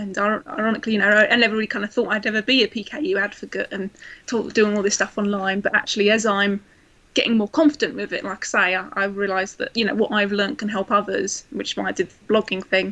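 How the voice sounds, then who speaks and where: The speaker has a southeast English accent and a bright, sharp tone. The intonation stays fairly even at a very fast pace. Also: woman, medium pitch for a woman. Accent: south east English. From south east England, Kent. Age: 20s. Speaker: blogger and administrator with PKU. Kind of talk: casual chat. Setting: live video chat.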